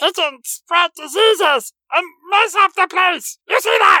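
An extremely high-pitched, put-on character voice. It moves at a very slow pace. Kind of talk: high-pitched, munchkin-like voice.

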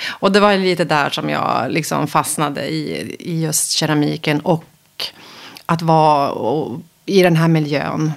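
Very slow and very deep in pitch, a woman speaks. Her intonation stays fairly even. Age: 50s. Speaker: interior photographer. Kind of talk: interview. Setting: host's kitchen.

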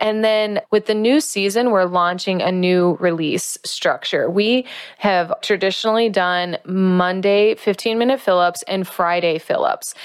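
Here a woman uses a normal speaking voice at a medium pitch, with ordinary pitch variation and very even loudness. She talks at a fairly slow pace on a very clean recording with a silent background. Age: 30s. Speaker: podcast host. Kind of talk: solo podcast monologue.

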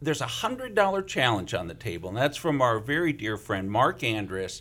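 The man's fairly high voice swings very widely in pitch and shows vocal fry. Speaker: guest host, radio DJ. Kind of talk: pledge drive pitch.

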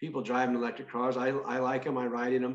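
Audible room echo carries a man's fairly high voice as he talks at a very fast pace. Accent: American. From Northern California. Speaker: state senator and farmer. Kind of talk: interview.

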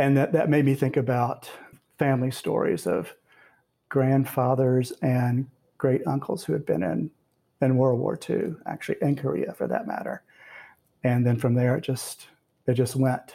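With an American accent, a man speaks at a moderate pace and medium pitch, his voice somewhat breathy with a dark, mellow tone and ordinary pitch variation. He leaves long, frequent pauses, and the recording is very clean with a silent background. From US South. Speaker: poet and professor. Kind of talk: interview with readings.

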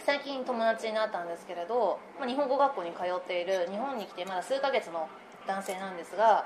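A woman at medium pitch, fairly quick and lively in intonation, with big swings in loudness over noticeable background noise. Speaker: podcast co-host studying to become a Japanese teacher. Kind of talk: casual chat.

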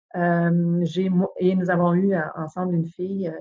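A woman at medium pitch speaks with monotone, flat intonation. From Quebec, Saguenay-Lac-Saint-Jean (Chicoutimi). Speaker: lawyer, bar president candidate. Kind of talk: interview. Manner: halting, many repetitions.

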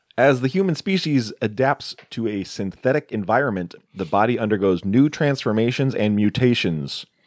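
A normal speaking voice moves at a moderate pace with lively intonation and hardly any pauses. The sound is dry and close, with no echo. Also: man, medium pitch for a man. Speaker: podcast host, horror film reviewer. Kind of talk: casual chat.

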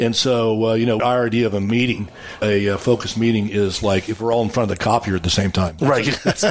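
Talking at a very fast pace, a man with a Texan accent uses a medium-pitched voice, fairly even intonation and very even loudness. Noticeable background noise can be heard. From West Texas, Abilene. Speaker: geologist, oil wildcatter and winery owner. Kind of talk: casual interview.

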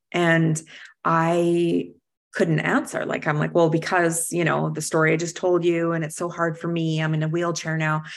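Recorded very cleanly against a silent background, a woman speaks at a moderate pace. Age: 40s. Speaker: interior designer and speaker. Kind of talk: casual chat.

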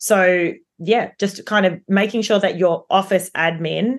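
A woman speaks with an Australian accent at a medium pitch. Her pace is fairly slow against a quiet background. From Melbourne, Australia. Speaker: property developer. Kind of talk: interview.

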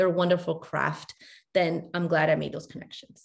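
With vocal fry, a woman speaks at a fairly low pitch and a moderate pace. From Chile, raised in New York City from age five. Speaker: educator and author. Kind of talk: casual interview.

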